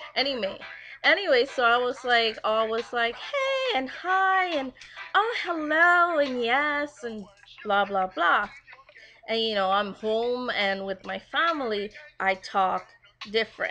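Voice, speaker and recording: A high-pitched woman speaks fairly slowly, her pitch swinging very widely against noticeable background noise. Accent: American. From Guyana, raised partly in New York. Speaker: vlogger. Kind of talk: casual video blog. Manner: casual, many fillers.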